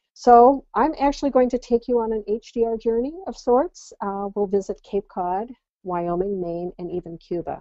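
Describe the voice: A woman's dark, mellow voice with an American accent, at a moderate pace, in a dry, close sound with no echo.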